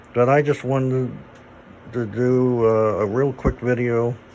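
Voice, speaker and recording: A man with an American accent speaks very slowly at a medium pitch, his intonation monotone and flat. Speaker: vlogger. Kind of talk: casual chat.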